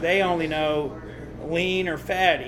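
With a Southern US accent, a man speaks at a high pitch. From Tennessee (Nashville, Smithville). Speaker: barbecue restaurant owner. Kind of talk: casual interview.

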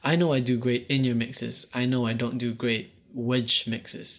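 A man's unremarkable speaking voice, medium in pitch, at a moderate pace with fairly even intonation, in a very clean recording with a silent background. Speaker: audio production host and monitor engineer. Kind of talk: casual podcast chat. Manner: playful, joking.

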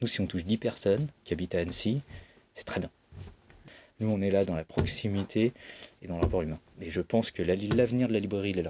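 Long, frequent pauses break up a man's fairly quick speech, pitched fairly low with ordinary pitch variation. The recording is very clean with a silent background and a dry, close sound with no echo. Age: 40s. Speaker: bookseller. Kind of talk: interview. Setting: bookshop stockroom.

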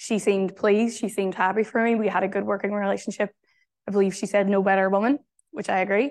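With a Northern Irish accent, this speaker talks at a very fast pace with fairly even intonation over a quiet background. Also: woman, medium pitch for a woman. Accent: Derry (Northern Irish). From Northern Ireland, Derry. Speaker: journalist and author. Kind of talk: keynote talk. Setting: venue with live audience.

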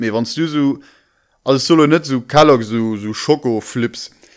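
This very clean recording, with a silent background, features a man at a medium pitch. He talks at a fairly slow pace with ordinary pitch variation. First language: Luxembourgish (speaking German). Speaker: podcast co-host. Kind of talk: casual chat.

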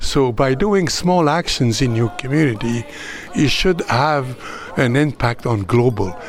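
A man's medium-pitched voice, fairly slow, with lively intonation and very even loudness, amid noticeable background noise. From Canada, Abitibiwinni First Nation, Quebec. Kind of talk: interview. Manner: halting.

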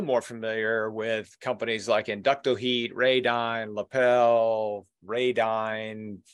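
Against a quiet background, a man with an unremarkable speaking voice talks at medium pitch with fairly even intonation. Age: 60s. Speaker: podcast host and trade magazine publisher. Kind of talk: interview.

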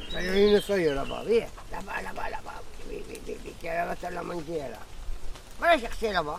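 Over noticeable background noise, a man talks at a moderate pace with big swings in loudness and long, frequent pauses. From Montpellier, southern France. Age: 70s. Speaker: retired winegrower. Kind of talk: casual chat.

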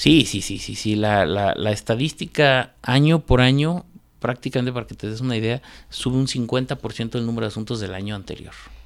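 At a moderate pace, a normal speaking voice with ordinary pitch variation shows big swings in loudness in a very clean recording with a silent background. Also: man, medium pitch for a man. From Guanajuato, Mexico. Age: 40s. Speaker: lawyer and columnist. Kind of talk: radio interview. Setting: radio studio.

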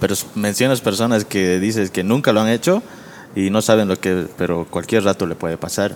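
A man with a fairly low pitch and ordinary pitch variation speaks at a moderate pace in a plain, everyday voice. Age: 20s. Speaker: graphic designer. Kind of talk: casual chat.

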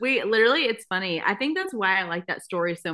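In an American accent, a woman speaks at a very fast pace. Her intonation is lively. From Texas. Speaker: podcast host. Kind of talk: casual chat. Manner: animated, chatty.

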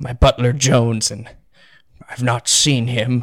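In a put-on character voice, a man speaks at a fairly slow pace and medium pitch, in a very clean recording with a silent background. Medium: actual play. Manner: old-fashioned, courteous.

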